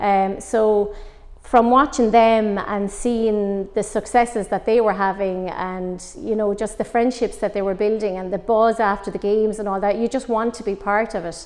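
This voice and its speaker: A woman with a Waterford accent talks with fairly even intonation and hardly any pauses. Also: fairly high pitch for a woman, moderate pace. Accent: Irish, Waterford. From Ireland, West Waterford; Ireland. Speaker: former Gaelic footballer and coach. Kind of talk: interview. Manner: hesitant, many fillers. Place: empty room.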